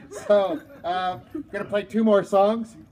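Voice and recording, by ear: A man speaks with a slightly mellow tone and ordinary pitch variation.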